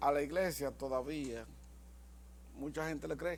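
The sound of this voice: A man speaks at a fairly slow pace. His pitch is fairly high, with ordinary variation.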